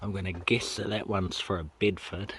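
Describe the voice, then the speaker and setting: A man mumbles at a fairly low pitch in a New Zealand accent. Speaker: car vlogger. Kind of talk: casual walk-around vlog narration. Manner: mumbling.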